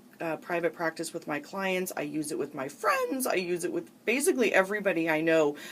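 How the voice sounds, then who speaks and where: There is noticeable background noise behind this speaker. A woman with an American accent talks in a fairly low voice. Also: hardly any pauses. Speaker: radio show host, psychotherapist. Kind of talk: talk radio hosting.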